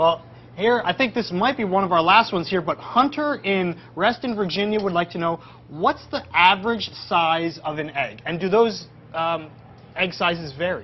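At a moderate pace, a man speaks in an animated tone at a high pitch with ordinary pitch variation. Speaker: educational livestream host. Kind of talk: live educational Q&A. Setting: on location at a farm. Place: farm machine.

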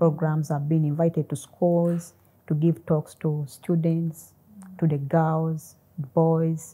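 Speaking at a very slow pace, a woman has a very deep, low pitch, a somewhat breathy, dark and mellow tone, and monotone, flat intonation. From Uganda. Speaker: mathematician. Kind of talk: interview. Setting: studio. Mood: warm, grateful, smiling. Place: studio. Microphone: lapel.

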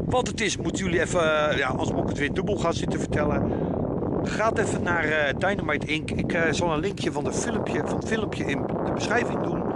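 A man talks at a fairly quick pace with ordinary pitch variation. The sound is dry with no echo over loud background noise. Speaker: vlogger. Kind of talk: casual vlog chat. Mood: squinting, animated. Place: waterside. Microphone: phone near.

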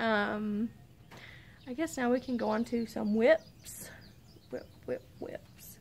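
A woman speaks at a very slow pace in a fairly high pitch, with long, frequent pauses. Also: fairly even intonation. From US South, Arkansas. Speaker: podcast host. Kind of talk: casual chat. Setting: outdoors. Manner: rambling, frequent laughs. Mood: relaxed, cheerful. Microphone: phone near.

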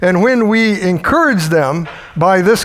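Lively intonation from a man, with noticeable background noise and audible room echo. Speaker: preacher. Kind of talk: sermon. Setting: church.

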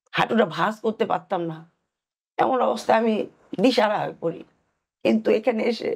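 Her voice fairly high, a woman speaks with vocal fry. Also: ordinary pitch variation. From Thakurgaon, northern Bangladesh. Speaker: patient, nursing supervisor. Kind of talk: testimony.

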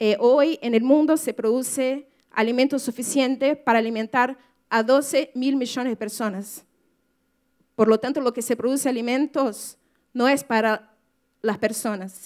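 A woman talks at a fairly slow pace in a high pitch. Her intonation is fairly even, and the background is quiet. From Brazil. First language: Portuguese (speaking Spanish). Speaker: writer and activist; speaker. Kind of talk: talk to an audience. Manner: halting, many fillers. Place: hall. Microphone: podium.

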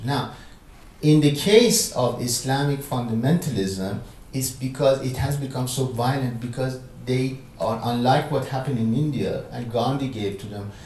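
A man at a moderate pace with ordinary pitch variation, audible room echo and light background noise. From Iran. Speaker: philosopher and professor; professor. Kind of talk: public conversation with audience Q&A. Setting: lecture room with audience. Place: hall.

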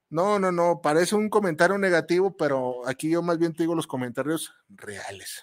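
On a very clean recording with a silent background, a man speaks in a high pitch with an animated tone. His pace is moderate and his pitch variation ordinary. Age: 40s. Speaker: radio host and chef. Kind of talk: casual radio monologue. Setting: radio studio booth. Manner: animated, halting with repetitions.

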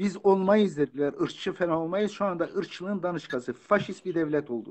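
A man talks at a fairly quick pace in a high pitch, with lively intonation. The background is quiet. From Turkey, Kurdish region. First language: Kurdish (speaking Turkish). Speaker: author and lecturer. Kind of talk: interview. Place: home room. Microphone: phone near.

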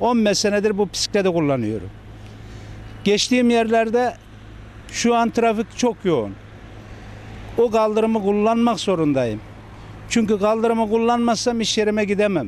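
A man with a high pitch and ordinary pitch variation leaves long, frequent pauses, recorded dry with no echo over light background noise. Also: moderate pace, very even loudness. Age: 40s. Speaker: cafeteria worker, cyclist fined by police. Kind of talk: news interview answer. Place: street. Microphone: handheld.

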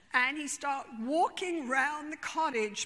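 A woman speaks in a raised, projected voice at a high pitch. Her tone is bright and sharp. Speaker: therapist. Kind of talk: storytelling. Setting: stage with audience. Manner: animated; humorous, conversational. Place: stage. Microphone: lapel.

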